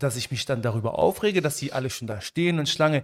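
The recording is very clean, with a silent background. A man with a fairly high voice speaks in an animated tone, with ordinary pitch variation. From Germany, Stolberg near Aachen (Moroccan family). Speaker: podcast co-host. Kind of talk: casual chat.

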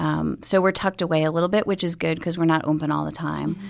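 A woman with an American accent speaks at a fairly low pitch in a very clean recording with a silent background. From Buffalo, New York. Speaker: flower business owner. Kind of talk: interview conversation. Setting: studio.

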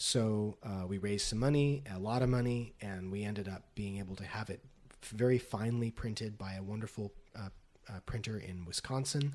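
A man speaks at a fairly quick pace with an American accent and a fairly low pitch. His is an ordinary speaking voice, with fairly even intonation. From Las Vegas, US West. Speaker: poet and professor. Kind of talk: casual interview. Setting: in person, Los Angeles.

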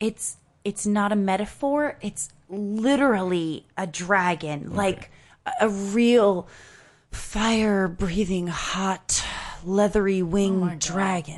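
A put-on character voice, female-sounding, at a medium pitch for a woman, with a very slow pace. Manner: lofty, rhapsodic, huffy.

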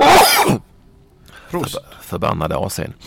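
Noticeable background noise surrounds a man who talks at a fairly slow pace. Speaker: football podcast host. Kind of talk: casual chat.

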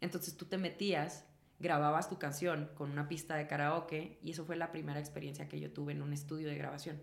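Fairly quick and monotone, a woman speaks at a very deep, low pitch with vocal fry and flat intonation, with audible room echo. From northern Mexico, Chihuahua. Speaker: actress and singer. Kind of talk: casual chat.

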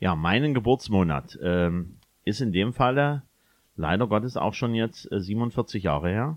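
A man with a fairly low voice speaks at a very slow pace. His intonation is lively. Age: 40s. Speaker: DJ and podcast co-host. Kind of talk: casual chat.

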